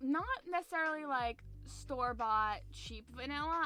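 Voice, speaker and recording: A woman keeps to a moderate pace while noticeable background noise goes on. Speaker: streamer. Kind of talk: casual chat.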